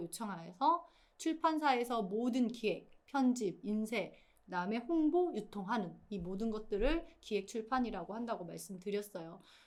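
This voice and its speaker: Her fairly high voice swings very widely in pitch as this woman talks. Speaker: writer teaching a writing course. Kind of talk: lecture.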